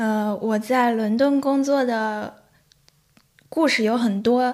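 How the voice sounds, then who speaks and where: A woman's fairly high voice, fairly even in intonation, at a very slow pace. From Shanxi, China. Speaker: bartender and fan-fiction writer. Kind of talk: casual interview chat.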